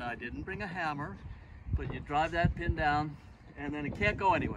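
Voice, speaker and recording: There is noticeable background noise. A man speaks at a fairly quick pace with ordinary pitch variation. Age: 70s. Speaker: boat designer and sailor. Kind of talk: casual how-to demonstration. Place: waterside.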